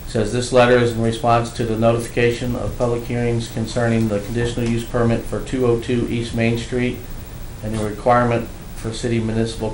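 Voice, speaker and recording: Monotone, flat intonation marks this man's speech. Light background noise and audible room echo surround him. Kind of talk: formal report and letter reading. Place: hall. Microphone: podium.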